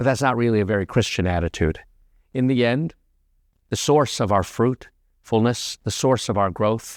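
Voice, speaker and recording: A man with an American accent speaks at a medium pitch with ordinary pitch variation and very even loudness, on a very clean recording with a silent background. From United States. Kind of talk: homily. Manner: fast.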